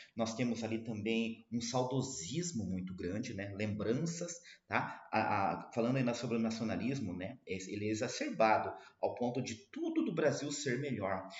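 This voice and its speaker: Amid audible room echo, a man with a medium pitch talks at a moderate pace with ordinary pitch variation. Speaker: literature teacher. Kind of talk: lecture.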